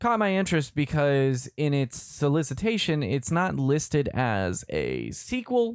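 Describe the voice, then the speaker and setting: A man talks with an unremarkable speaking voice at a fairly slow pace. His fairly high pitch carries lively intonation in a very clean recording with a silent background. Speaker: comic book podcast host. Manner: joking.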